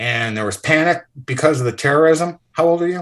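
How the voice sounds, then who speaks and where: In a very clean recording with a silent background, a man speaks at a moderate pace with a bright, sharp tone and lively intonation. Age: 60s. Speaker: ex-hedge fund manager. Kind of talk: interview. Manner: animated.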